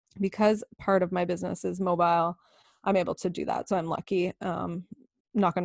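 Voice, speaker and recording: A woman with a plain, everyday voice speaks at a moderate pace in a Canadian accent, her pitch fairly low. The recording is very clean and dry, close-miked with no echo and a silent background. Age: 30s. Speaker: myofascial release therapist. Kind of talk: casual interview.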